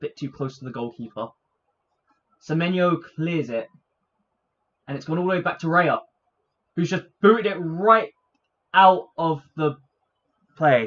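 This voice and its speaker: An animated tone comes through at a fairly slow pace, broken by long, frequent pauses. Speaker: football fan streamer. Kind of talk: live match watch-along commentary. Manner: animated, shouting.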